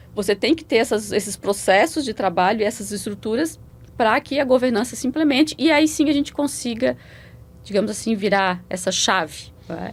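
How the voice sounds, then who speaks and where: A woman at a moderate pace, fairly high in pitch. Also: lively intonation. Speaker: public auditor. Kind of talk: interview. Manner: repeats syllables, halting starts.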